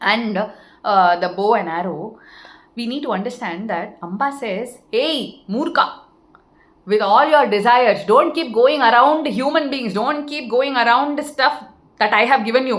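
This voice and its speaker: A woman speaks at a fairly slow pace in a high pitch with lively intonation. Audible room echo surrounds her voice. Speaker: spiritual teacher. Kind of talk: spiritual talk.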